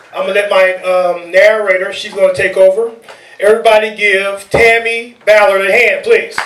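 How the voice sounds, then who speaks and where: A loud man with a high pitch talks in a flat monotone at a moderate pace, with audible room echo and noticeable background noise. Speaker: event organizer and emcee. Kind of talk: event welcome speech.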